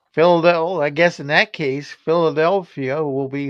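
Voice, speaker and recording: Speaking with a West Virginia accent, a man shows ordinary pitch variation. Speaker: sports talk show co-host. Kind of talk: casual chat.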